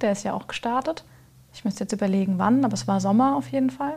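Very fast and somewhat breathy, a woman speaks at a fairly high pitch with lively intonation. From Lower Franconia, Germany. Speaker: business founder. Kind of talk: casual chat.

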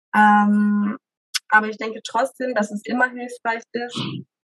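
In a dry, close sound with no echo, a woman with a fairly high pitch speaks at a very slow pace and with fairly even intonation. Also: long, frequent pauses, big swings in loudness. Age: 20s. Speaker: mother sharing home birth story. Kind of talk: interview testimony. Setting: child present during recording.

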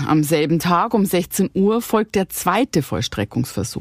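A woman's medium-pitched voice with very wide pitch swings, recorded dry and close with no echo. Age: 50s. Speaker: true crime podcast host. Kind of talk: scripted narration; casual chat.

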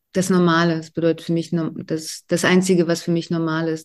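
A woman with a Russian accent, fairly low pitch and a moderate pace, over a quiet background. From Russia (Volgograd, Soviet Union). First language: Russian (speaking German). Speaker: novelist and dramaturge. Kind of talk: interview.

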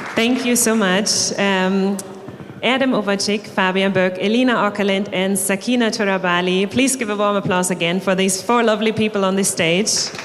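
In a German accent, a woman talks at a moderate pace with medium pitch and fairly even intonation, her loudness very even. Room echo is audible and background noise noticeable. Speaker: event presenter. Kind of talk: stage announcement. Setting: stage with audience.

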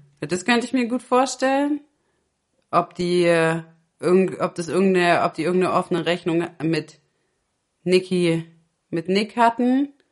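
Speaking at a fairly slow pace with long, frequent pauses, a woman uses lively intonation at a medium pitch. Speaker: podcast co-host. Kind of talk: casual chat.

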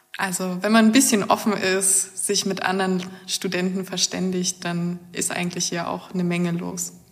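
Over noticeable background noise, a woman speaks at a moderate pace and medium pitch with monotone, flat intonation. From Germany, northeastern Brandenburg. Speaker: engineering master's student. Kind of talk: interview about her studies.

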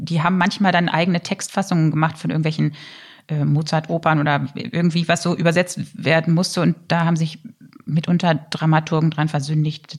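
A woman's fairly low, somewhat breathy voice at a moderate pace. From Germany, Lower Saxony (Harz). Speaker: opera singer. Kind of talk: casual chat.

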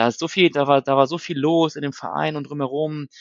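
A man at a moderate pace. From northern Germany, Hannover. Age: 30s. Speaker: football fan podcaster. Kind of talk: casual chat. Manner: halting, many fillers.

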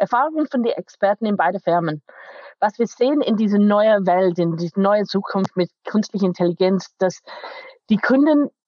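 In an English accent, a woman speaks at a moderate pace. Her intonation is lively around a medium pitch. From England, Manchester. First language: English (speaking German). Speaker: IT company manager. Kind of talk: interview. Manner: halting, non-native German.

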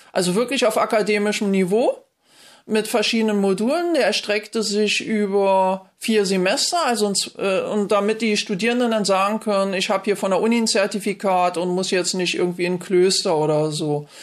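The pace is moderate, with ordinary pitch variation. Loudness stays very even throughout. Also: woman, medium pitch for a woman. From East Berlin, Germany. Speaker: theology professor and mysticism coach. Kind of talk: interview. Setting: video call. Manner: animated.

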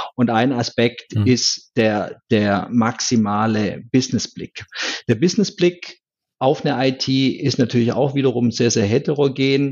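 A man talks fairly slowly in an unremarkable speaking voice at medium pitch. His loudness stays very even, with ordinary pitch variation. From rural Germany. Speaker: IT strategist. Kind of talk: interview. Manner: repeats words often.

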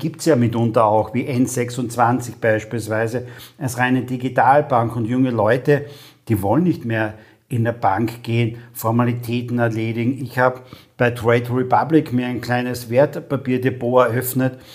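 A man speaks in an ordinary speaking voice at medium pitch and a moderate pace. His intonation stays fairly even. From Austria, Carinthia (Lavant valley). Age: 50s. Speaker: podcast host, storytelling expert. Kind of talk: interview.

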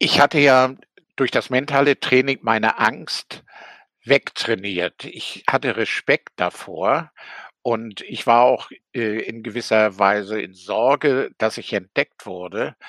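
The voice has a bright, sharp tone and ordinary pitch variation, moving at a very slow pace with big swings in loudness and a dry, close sound with no echo. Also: man, medium pitch for a man. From East Germany, Rostock. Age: 80s+. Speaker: author and former GDR escapee. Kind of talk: interview testimony. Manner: hesitant with frequent fillers.

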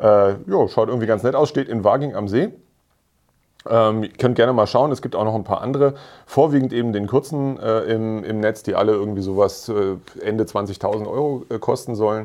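A man speaks at medium pitch and a moderate pace. It is a plain, everyday voice with ordinary pitch variation. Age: 40s. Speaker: motoring journalist and podcast co-host. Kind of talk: casual chat.

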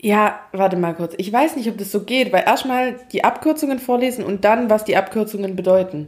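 At a moderate pace, the voice shows ordinary pitch variation over noticeable background noise. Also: woman, fairly high pitch for a woman. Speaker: podcast co-host. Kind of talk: casual chat. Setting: home recording, echoey room.

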